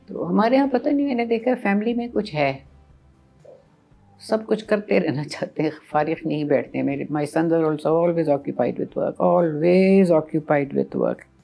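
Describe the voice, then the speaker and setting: Over music in the background, a woman with a fairly low pitch makes very wide pitch swings. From Pakistan. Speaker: radio broadcaster. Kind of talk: interview answer.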